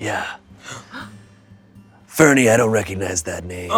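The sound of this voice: Over faint background music, a man speaks in a raspy, put-on character voice. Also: fairly low pitch for a man, moderate pace.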